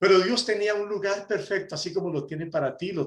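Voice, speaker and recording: A man's high-pitched voice at a fairly quick pace. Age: 60s. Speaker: preacher, prison ministry volunteer. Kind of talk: sermon. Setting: conference talk.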